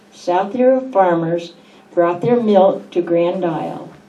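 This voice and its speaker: A woman's fairly low voice at a fairly slow pace, with audible room echo and noticeable background noise. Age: 80s+. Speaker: longtime local resident. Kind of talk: reading aloud and reminiscing. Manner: halting.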